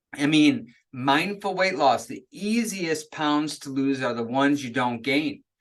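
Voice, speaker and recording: A man speaks in an animated tone at a fairly high pitch. His intonation is lively, and the background is quiet. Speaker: chiropractor presenting a weight loss webinar. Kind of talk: webinar sales presentation. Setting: live online webinar.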